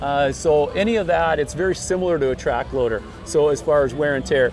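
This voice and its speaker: A man talks at a fairly quick pace with ordinary pitch variation and very even loudness. The sound is dry with no echo, and faint music plays in the background. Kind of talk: interview answer. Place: street.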